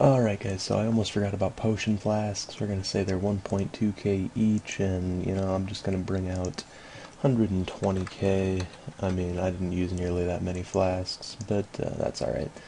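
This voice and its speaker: Noticeable background noise surrounds a man whose very deep, low pitch carries fairly even intonation. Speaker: gaming video creator. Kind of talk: gameplay commentary. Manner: fast; casual, halting with fillers.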